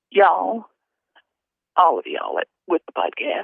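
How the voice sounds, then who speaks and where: At a moderate pace, a woman speaks in a Southern US accent. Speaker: mother of deceased reporter. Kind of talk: testimony. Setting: phone call.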